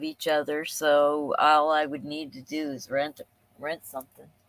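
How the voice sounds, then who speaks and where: Speaking at a fairly slow pace, a woman talks in a Pennsylvania accent. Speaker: live streamer. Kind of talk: casual live stream chat. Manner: rambling, thinking out loud.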